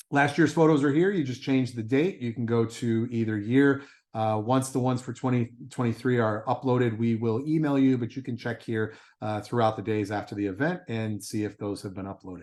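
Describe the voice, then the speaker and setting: Quiet background behind a man of medium pitch, with ordinary pitch variation and a fairly quick pace. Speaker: race director. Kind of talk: briefing with screen-share walkthrough. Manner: fast.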